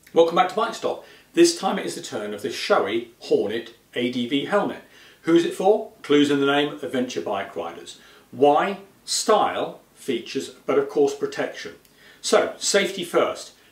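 A man speaks at a moderate pace, and audible room echo surrounds his voice. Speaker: presenter. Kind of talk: product review presentation. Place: studio.

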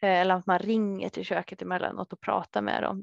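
Dry sound with no echo over a quiet background. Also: woman. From Sweden, Södertälje; Sweden. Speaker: dietitian; presenter. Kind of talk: webinar talk. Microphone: headset.

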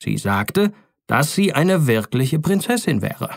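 A man talks at a moderate pace. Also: very clean recording, silent background. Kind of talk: bedtime story reading, audiobook fairy tale narration. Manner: calm, gentle, storytelling cadence; warmly expressive, lightly dramatizing the princess's lines.

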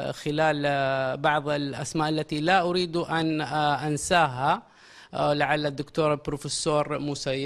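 A man talks at a fairly slow pace in a fairly high pitch. His intonation is flat and monotone, with a quiet background behind him. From Saudi Arabia. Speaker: language institute director and lecturer; lecturer. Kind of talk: interview. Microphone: handheld.

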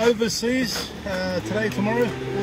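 A man's voice over loud background noise. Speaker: charity volunteer organiser. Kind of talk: on-site interview. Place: street. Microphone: muffled, too quiet; phone near.

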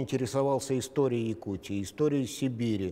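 Speaking at a moderate pace, the man has a dark, mellow tone with ordinary pitch variation. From Yakutia, Russia (Kobyay district village). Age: 70s. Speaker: interviewed writer. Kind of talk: interview. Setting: studio. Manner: halting, many fillers. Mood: calm, reflective. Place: studio. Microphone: lapel.

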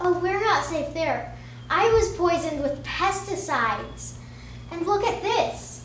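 Someone uses a put-on character voice with an extremely high pitch at a moderate pace. There is clear background noise and a slight echo. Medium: audio drama. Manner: earnest, theatrical.

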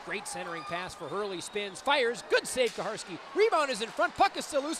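A man speaks in a raised, projected voice at an extremely high pitch, swinging very widely up and down. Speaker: hockey play-by-play announcer. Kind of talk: live hockey commentary, play-by-play call. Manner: fast-paced, excitable, rising with each goal; emphatic, dismayed exclamations over the opposing team's goals.

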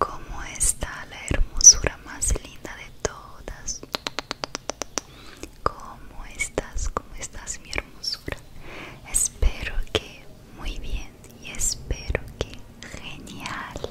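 A soft-spoken woman whispers at a very slow pace, leaving long, frequent pauses. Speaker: ASMR creator. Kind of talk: soft ASMR personal attention talk. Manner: soft close-mic ASMR whisper. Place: home room. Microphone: studio mic.

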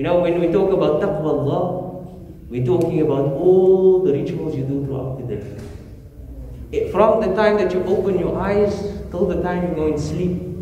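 With light background noise and audible room echo, a man speaks at a high pitch and moderate pace, with ordinary pitch variation. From South Africa. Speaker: imam. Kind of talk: sermon. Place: church.

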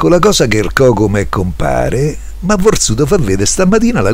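A man's speech is accompanied by noticeable background noise. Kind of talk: poetry reading.

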